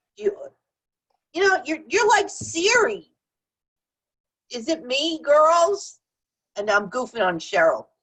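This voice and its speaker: A woman's extremely high voice in a New Jersey accent, very slow, with very wide pitch swings and long, frequent pauses. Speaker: show host. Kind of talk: casual chat.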